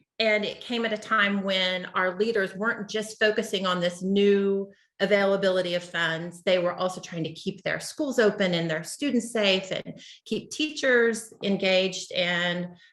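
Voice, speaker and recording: In an American accent, a woman talks in an unremarkable speaking voice, medium in pitch with ordinary pitch variation. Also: moderate pace. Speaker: state education official. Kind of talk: webinar presentation.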